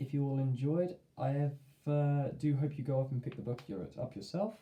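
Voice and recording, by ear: A man mumbling in a put-on character voice, fairly high in pitch, at a moderate pace with ordinary pitch variation.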